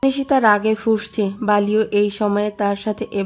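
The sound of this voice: The clip features an unforced reading voice. It carries through the passage.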